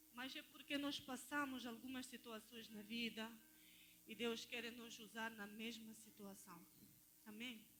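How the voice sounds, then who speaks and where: A woman's bright, sharp voice at a fairly high pitch, with fairly even intonation and a fairly slow pace. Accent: non-native. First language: not Portuguese (speaking Portuguese). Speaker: lay preacher. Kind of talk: sermon. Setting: church.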